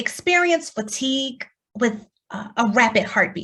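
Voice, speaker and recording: Speaking very slowly with a lively intonation, a woman talks in an American accent. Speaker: keynote speaker. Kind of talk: keynote talk. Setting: virtual forum.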